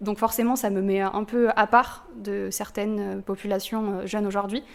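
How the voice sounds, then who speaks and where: Monotone, flat intonation from a woman at a medium pitch. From southern France. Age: 20s. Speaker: student activist. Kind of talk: interview testimony.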